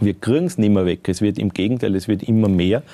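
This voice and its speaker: A man speaks in a dark, mellow, fairly low voice with ordinary pitch variation. The recording is very clean with a silent background and a dry, close sound with no echo. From Styria, Austria. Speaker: mountain bike officer of alpine club. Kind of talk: casual chat.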